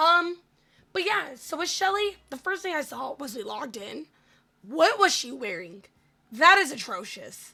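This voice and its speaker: Raised, projected woman's voice at an extremely high pitch, with very wide pitch swings. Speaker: gaming streamer. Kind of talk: gameplay voiceover. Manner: casual, filler-heavy.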